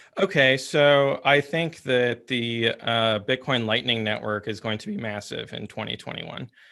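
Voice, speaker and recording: A man of medium pitch speaks at a moderate pace with hardly any pauses and ordinary pitch variation. His loudness swings a lot, and background noise is noticeable. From France. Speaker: bitcoin strategist. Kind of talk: panel discussion. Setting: webinar. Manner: halting, many fillers and repeats.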